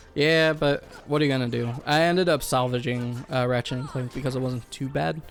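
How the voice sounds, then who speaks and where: Over music in the background, a man speaks at a medium pitch with ordinary variation. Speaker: gaming video co-host. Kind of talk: casual chat. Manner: hesitant, many fillers.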